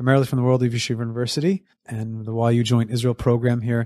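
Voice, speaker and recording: A dark, mellow tone in a New York accent, dry and close with no echo, over a quiet background. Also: man. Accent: American English, New York area. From US Northeast (Monsey, NY; New Jersey). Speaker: summer camp executive director. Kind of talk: interview. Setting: studio.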